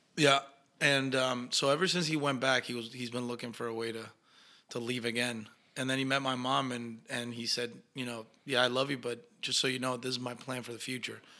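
Speaking fairly quickly with a Spanish accent, a man uses a medium pitch and a bright, sharp tone in a monotone, flat delivery. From Argentina. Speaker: actor. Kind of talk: casual interview chat.

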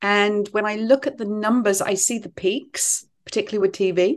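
She speaks with an English accent. The voice belongs to a woman. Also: quiet background. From England. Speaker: author. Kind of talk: interview.

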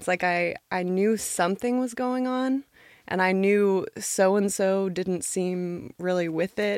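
In an unremarkable speaking voice, a woman with an American accent talks at medium pitch and a fairly slow pace, with ordinary pitch variation. The recording is very clean over a silent background, dry and close with no echo. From Nashville, Tennessee, US South. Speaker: personal trainer. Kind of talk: casual interview chat.

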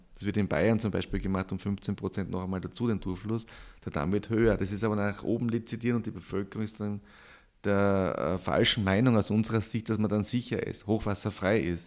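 Recorded very clean against a silent background, a man talks at a fairly quick pace with a fairly low pitch and fairly even intonation, an ordinary speaking voice. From Austria, Styria. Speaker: professor, flood researcher. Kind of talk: interview.

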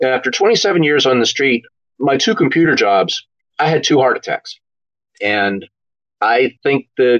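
A man with an American accent has a plain, everyday voice, fairly high in pitch. He speaks at a fairly slow pace with lively intonation. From Philadelphia suburbs, Pennsylvania. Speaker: retired police officer and crime novelist. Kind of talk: interview.

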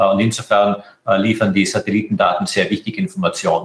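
The pace is fairly quick as this man talks. There is a somewhat breathy quality to his voice. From Austria, Tyrol. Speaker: space agency director. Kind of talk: interview. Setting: internet call.

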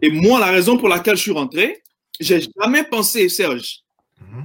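A man speaks with very wide pitch swings. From Ivory Coast (Abidjan). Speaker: insurance agent. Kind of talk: interview. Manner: hesitant, with many fillers.

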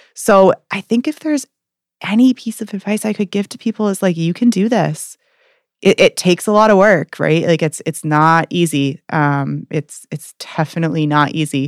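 A woman with an American accent has an unremarkable speaking voice, a fairly low pitch, and lively intonation at a moderate pace. The recording is very clean with a silent background and a dry, close sound with no echo. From Maine, US (Portland). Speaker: addiction counselor. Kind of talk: interview. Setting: in person.

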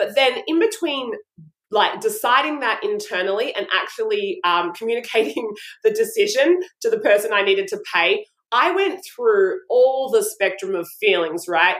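In an Australian accent, a woman speaks at a high pitch with very wide pitch swings. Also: moderate pace. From Brisbane, Australia. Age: 40s. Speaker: style coach and image consultant. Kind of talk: casual interview chat.

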